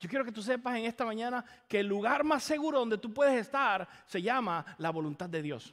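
A man's extremely high pitch with lively intonation. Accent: Caribbean Spanish. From Caribbean island. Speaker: pastor. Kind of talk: sermon. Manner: repeats words, halting.

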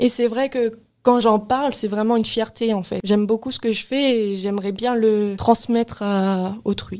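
Fairly high in pitch yet dark and mellow in tone, a woman speaks at a fairly slow pace with fairly even intonation on a very clean recording with a silent background. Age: 20s. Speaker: work-study student. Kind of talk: interview.

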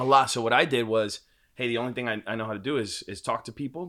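A man talks at a medium pitch in a plain, everyday voice. The recording is very clean, with a silent background. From Washington Heights, New York City. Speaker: startup co-founder. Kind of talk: casual interview.

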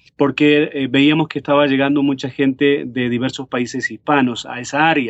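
Here a man speaks at a moderate pace. His voice is fairly high in pitch. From Uruguay, Montevideo. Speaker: pastor. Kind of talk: interview. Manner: hesitant with many fillers.

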